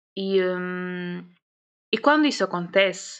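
Speaking very slowly, a woman uses a medium pitch. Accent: European Portuguese. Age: 20s. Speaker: podcast host. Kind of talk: casual monologue.

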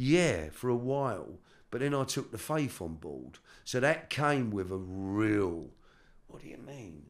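The delivery comes at a fairly slow pace with lively intonation. Audible echo fills the room. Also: man. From South London. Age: 60s. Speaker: author and former criminal. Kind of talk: interview, life story. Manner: halting, repeats words.

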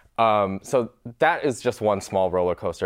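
A man speaks with an American accent. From Michigan, US Midwest. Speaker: podcast host. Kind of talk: casual interview chat.

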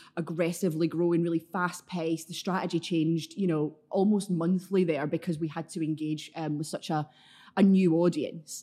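At a moderate pace, the speech comes in a dark, mellow tone with monotone, flat intonation. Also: woman. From Scotland. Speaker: consultant and division head. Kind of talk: casual interview chat.

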